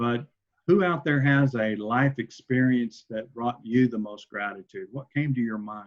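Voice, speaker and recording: A man talks at a fairly slow pace with a medium pitch. His is an unremarkable speaking voice. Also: ordinary pitch variation. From Oklahoma. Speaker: entrepreneur, presenter. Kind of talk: online workshop presentation.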